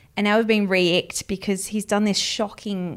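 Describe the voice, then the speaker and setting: A woman speaks with an Australian accent. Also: very clean recording, silent background. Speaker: entertainment editor and podcast co-host. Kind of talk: casual chat. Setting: studio in Sydney.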